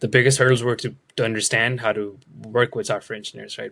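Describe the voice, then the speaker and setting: With a non-native accent, a man speaks at a very fast pace with fairly even intonation. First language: not English. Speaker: product manager. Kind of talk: interview.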